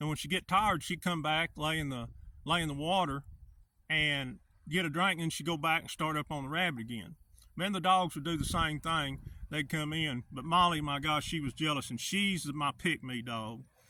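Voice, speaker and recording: With an Arkansas accent and a bright, sharp tone, a man speaks at a fairly high pitch and a moderate pace, his pitch varying in an ordinary way. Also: very clean recording, silent background. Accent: Southern US (Arkansas). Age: 60s. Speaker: hunter, outdoor vlogger. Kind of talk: casual vlog monologue.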